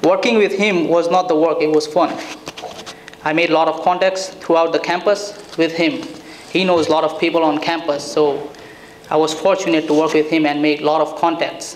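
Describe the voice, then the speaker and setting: A man's fairly high-pitched voice with fairly even intonation and very even loudness, set against noticeable background noise. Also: fairly quick pace. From India. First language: Indian native language. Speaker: graduating student. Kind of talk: graduation speech. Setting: event with audience.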